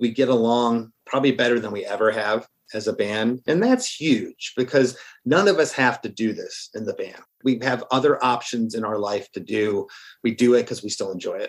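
A man's medium-pitched, moderately paced delivery with ordinary pitch variation, a plain, everyday voice. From Florida (moved from Michigan at about seven). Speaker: singer-songwriter in a ska-punk band. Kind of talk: casual interview chat.

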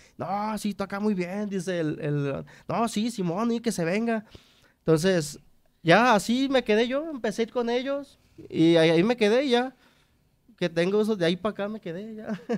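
Against a quiet background, a man talks in a high pitch at a moderate pace. His pitch varies in an ordinary way. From Mexico, Nayarit. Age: 30s. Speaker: trumpet player in a regional Mexican band; podcast guest. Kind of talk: interview. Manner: halting, repeats words. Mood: relaxed storytelling. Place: studio. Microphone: studio mic.

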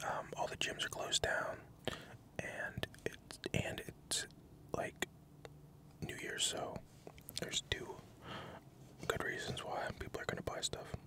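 A man whispers at a fairly slow pace. His long pauses come often. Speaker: ASMR creator. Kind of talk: casual vlog chat. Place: car. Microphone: studio mic.

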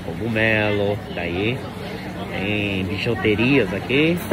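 Through audible room echo and noticeable background noise, a man with a fairly low pitch talks at a very slow pace with lively intonation. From Brazil. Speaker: vlogger. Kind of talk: walking vlog tour. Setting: outdoors at street market. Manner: casual, chatty.

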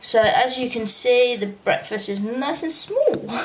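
This woman speaks with a British accent. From UK. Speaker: vlogger. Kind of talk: video diary. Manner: casual, hesitant with frequent ums. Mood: relaxed, mildly upbeat. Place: home room. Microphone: phone near.

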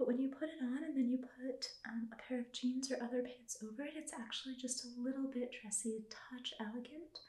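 In a quiet background with audible room echo, a soft-spoken woman talks in a high pitch and a gentle tone. Her pace is moderate and her intonation fairly even. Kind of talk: soft-spoken clothing presentation to a viewer. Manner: soft-spoken gentle ASMR voice. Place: home room. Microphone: phone near.

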